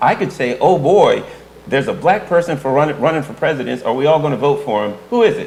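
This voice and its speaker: Very fast and lively in intonation, a man speaks at a fairly high pitch. Background noise is noticeable. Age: old. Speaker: political analyst. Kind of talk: casual chat.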